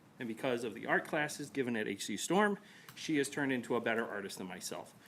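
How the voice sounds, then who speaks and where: Mumbling at a moderate pace, a man uses a medium pitch with ordinary pitch variation. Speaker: parent speaking at public comment. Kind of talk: public comment. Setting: school board meeting.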